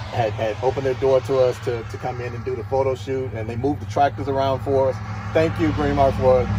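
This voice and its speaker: Speaking at a very fast pace with ordinary pitch variation, a man comes through a dry, echo-free sound with noticeable background noise. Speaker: vehicle video host. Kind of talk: casual vlog chat. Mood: excited, amazed. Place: farm machine. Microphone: phone near.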